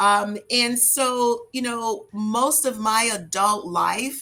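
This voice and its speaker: The voice has a bright, sharp tone and speaks with an American accent. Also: woman. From US South, New Orleans. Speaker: entrepreneur. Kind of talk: podcast interview.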